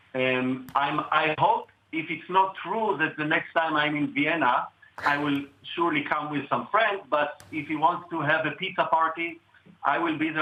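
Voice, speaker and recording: A man with a fairly high pitch speaks at a moderate pace, his pitch varying in an ordinary way, as noticeable background noise runs behind him. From Israel. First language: Hebrew. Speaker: cellist. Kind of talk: interview.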